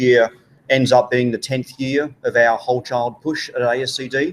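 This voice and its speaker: A man with an Australian accent, medium pitch, and fairly even intonation. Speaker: education organization leader, former teacher. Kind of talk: live panel interview. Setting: conference with live audience.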